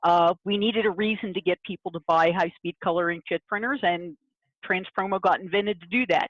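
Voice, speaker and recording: With an ordinary speaking voice, a woman talks at a fairly quick pace with a medium pitch and fairly even intonation. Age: 60s. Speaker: print industry consultant and writer. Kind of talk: interview on a video call webinar. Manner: frequent fillers, uh and um.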